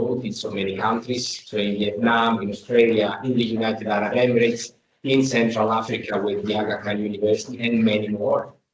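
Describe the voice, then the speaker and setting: Speaking fairly quickly with an Italian accent, the voice stays monotone and flat. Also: man. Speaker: academic host. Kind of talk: formal introduction. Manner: halting.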